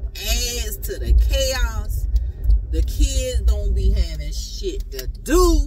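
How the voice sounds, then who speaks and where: A woman speaks over music in the background, in a dry sound with no echo. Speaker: vlogger. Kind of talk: casual vlog chat. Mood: animated, opinionated. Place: car. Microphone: lapel.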